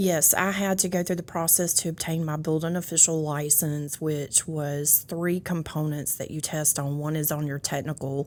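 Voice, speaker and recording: With a Louisiana accent, this woman speaks at a moderate pace in a very deep, low pitch, her intonation monotone and flat, with hardly any pauses. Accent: Louisiana Southern. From US South, North Louisiana (West Monroe). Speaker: county building official. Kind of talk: casual interview chat.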